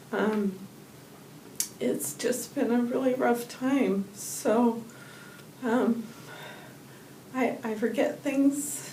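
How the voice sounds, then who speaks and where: A woman's fairly high voice at a very slow pace with fairly even intonation and long, frequent pauses, plus noticeable background noise and audible room echo. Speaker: patient. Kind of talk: testimony. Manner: soft-spoken; halting.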